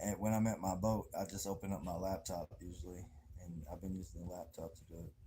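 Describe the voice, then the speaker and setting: Speaking at a very fast pace, a man with an American accent has a very deep, low pitch and a dark, mellow tone that is somewhat breathy. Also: fairly even intonation. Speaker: livestreamer. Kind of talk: casual livestream chat. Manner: casual, rambling with fillers; quiet, talking low.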